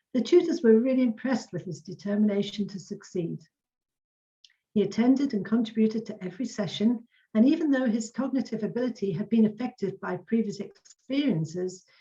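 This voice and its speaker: Fairly quick and somewhat breathy, a woman speaks with a dark, mellow tone and fairly high pitch. Her pitch variation is ordinary, while her loudness swings widely. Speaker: community learning officer presenting an award. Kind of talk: award ceremony presentation. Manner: fast.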